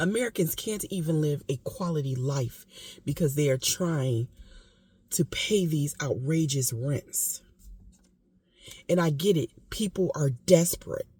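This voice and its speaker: A woman talks at a fairly slow pace with long, frequent pauses, her pitch very deep and low. Her tone is dark, mellow and somewhat breathy, with lively intonation. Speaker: vlogger. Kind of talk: casual monologue. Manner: emotional, impassioned.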